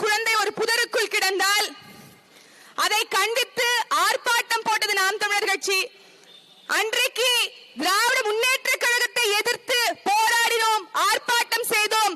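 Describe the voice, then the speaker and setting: A woman speaks in a raised, projected voice at an extremely high pitch. Her loudness stays very even, and her intonation is fairly even. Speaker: political party women's wing functionary. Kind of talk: fiery protest speech at a rally. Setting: outdoors at a public demonstration. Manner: fiery, forceful, sarcastic.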